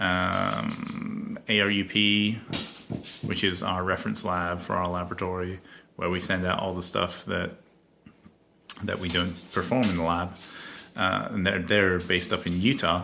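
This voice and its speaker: A man's very deep, low voice with vocal fry and a bright, sharp tone, ordinary pitch variation, a fairly slow pace, long, frequent pauses and audible room echo. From Scotland. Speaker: laboratory worker, podcaster. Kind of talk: casual monologue. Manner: hesitant, filler-heavy.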